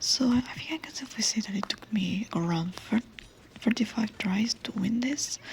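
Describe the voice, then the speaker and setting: The speaker is soft-spoken, with noticeable background noise behind them. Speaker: VTuber. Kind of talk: soft-spoken gameplay commentary.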